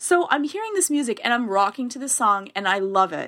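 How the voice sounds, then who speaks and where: In a Canadian accent, a bright, sharp voice moves at a moderate pace with lively intonation in a very clean recording with a silent background. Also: woman. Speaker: therapist. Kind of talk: casual chat.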